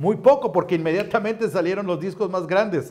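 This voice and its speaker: A man with a high pitch speaks in an animated tone with ordinary pitch variation. The background is quiet. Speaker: Bible collector and ministry teacher; ministry teacher. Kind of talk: show-and-tell presentation. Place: studio. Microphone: lapel.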